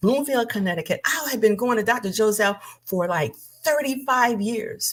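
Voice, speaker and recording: Animated in tone, a woman speaks at a fairly high pitch with very wide pitch swings and vocal fry. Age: 70s. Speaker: minister. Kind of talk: livestream talk.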